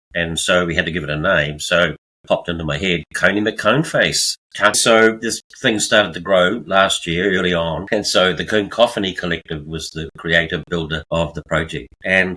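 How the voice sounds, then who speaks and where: In a New Zealand accent, a man talks at a moderate pace with a very deep, low pitch, a bright, sharp tone and ordinary pitch variation. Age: 70s. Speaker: artist, retiree. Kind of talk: interview.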